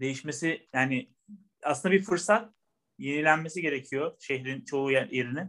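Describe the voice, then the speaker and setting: A man's fairly high, bright, sharp voice at a moderate pace, with ordinary pitch variation. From Turkey, Bilecik. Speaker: banker. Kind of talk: casual interview.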